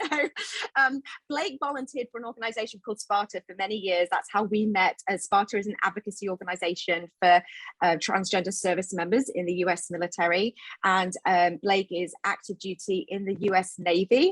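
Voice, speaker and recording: This woman talks fairly quickly at a medium pitch with ordinary pitch variation. The sound is dry and close, with no echo. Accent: British. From United Kingdom. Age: 40s. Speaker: event host and filmmaker. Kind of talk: event hosting introduction. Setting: live online event with green screen.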